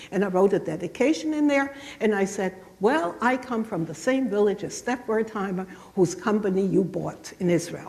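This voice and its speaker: Over noticeable background noise, a woman with a medium pitch speaks at a moderate pace with lively intonation. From southwestern Germany. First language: German. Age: 70s. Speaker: Holocaust survivor speaker. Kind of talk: lecture. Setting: church. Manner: halting.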